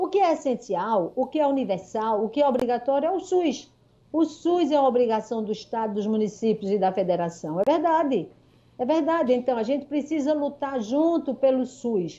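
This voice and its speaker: A woman with a high pitch and a dark, mellow tone speaks at a moderate pace with very wide pitch swings. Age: 60s. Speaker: consumer rights advocate, doctor and lawyer. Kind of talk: radio interview. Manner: animated.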